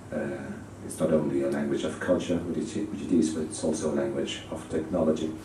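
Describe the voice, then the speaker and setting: A man with a very deep, low pitch speaks at a very fast pace with fairly even intonation, amid noticeable background noise and audible room echo. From Spain. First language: Spanish. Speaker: ambassador. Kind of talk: conference speech. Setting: conference audience. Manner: hesitant, many fillers.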